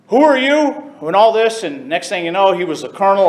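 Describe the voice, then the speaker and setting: With an American accent and lively intonation, a man speaks amid noticeable background noise and audible room echo. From US South (Texas and Florida). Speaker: bagpiper and retired prison officer. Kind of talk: informal talk to a club audience. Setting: stage with audience.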